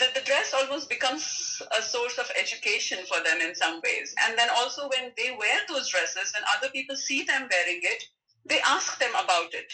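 A raised, projected voice moves at a moderate pace with very wide pitch swings. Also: woman, high pitch for a woman. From India. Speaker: clothing brand founder. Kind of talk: casual interview chat.

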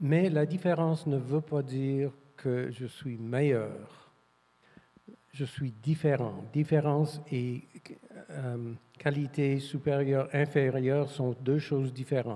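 A man's dark, mellow voice, fairly high in pitch, with fairly even intonation, a very slow pace, and long, frequent pauses. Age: 70s. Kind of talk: panel discussion.

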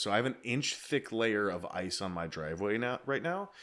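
Captured in a very clean recording with a silent background, a man with a plain, everyday voice speaks at a moderate pace and a fairly low pitch. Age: 30s. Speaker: podcast host, military veteran. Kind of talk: casual chat.

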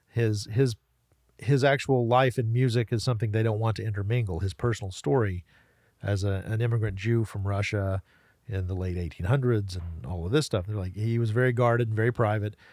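Heard in a very clean recording with a silent background, a man with an American accent talks at a fairly quick pace. His pitch varies in an ordinary way. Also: fairly low pitch for a man. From western North Carolina, Waynesville, Haywood County. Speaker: talk radio host. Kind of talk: casual interview chat. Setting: podcast studio. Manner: halting, many repeated words.

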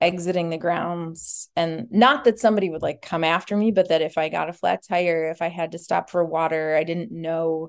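Against a quiet background, a woman with an American accent uses a normal speaking voice, fairly low in pitch with ordinary pitch variation, at a moderate pace. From Minnesota, US. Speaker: violinist. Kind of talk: casual chat.

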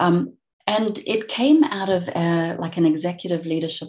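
This woman has a fairly low pitch and a dark, mellow tone. She keeps a moderate pace with ordinary pitch variation. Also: quiet background. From South Africa. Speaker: global director at an industrial tech company. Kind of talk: interview.

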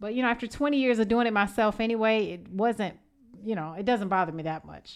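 A woman with an American accent talks at a very fast pace, her pitch fairly high and her pitch variation ordinary. Her loudness swings widely, and the recording is very clean with a silent background. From Evanston, Illinois. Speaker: podcast host. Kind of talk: casual interview chat.

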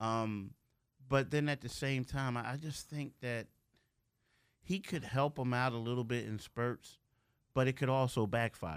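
A man with a medium pitch speaks at a fairly slow pace, using ordinary pitch variation and long, frequent pauses. The recording is very clean, with a silent background. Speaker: sports beat writer. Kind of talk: casual studio interview.

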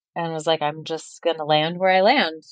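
A woman with a normal speaking voice and an American accent talks at a fairly quick pace and a fairly low pitch. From Colorado. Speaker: chef. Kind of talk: casual chat.

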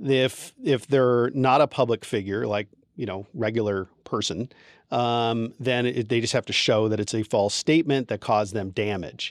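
A man's unremarkable speaking voice at medium pitch, with ordinary pitch variation and a moderate pace, very clean and silent behind it, dry and close with no echo. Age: 50s. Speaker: divorce attorney. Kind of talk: podcast interview.

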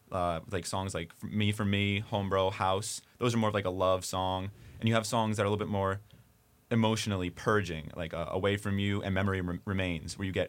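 A man with an American accent talks at a fairly quick pace and fairly low pitch in a monotone, flat intonation. The recording is very clean with a silent background. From New Jersey. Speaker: college radio host. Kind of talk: casual interview. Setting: radio studio.

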